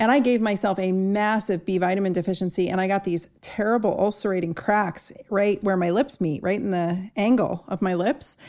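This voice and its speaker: With an American accent and an ordinary speaking voice, a woman talks at a moderate pace with hardly any pauses, medium pitch and ordinary pitch variation, on a very clean recording with a silent background. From Southern California. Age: 50s. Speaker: podcast host, doctor. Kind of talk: interview conversation.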